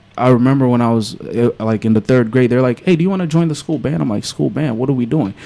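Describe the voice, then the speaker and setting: A man in an American accent talks with ordinary pitch variation at a medium pitch. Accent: sounds American. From Angola, then United States from age seven. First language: Portuguese. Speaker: rapper and visual content creator. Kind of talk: casual interview chat. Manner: animated storytelling.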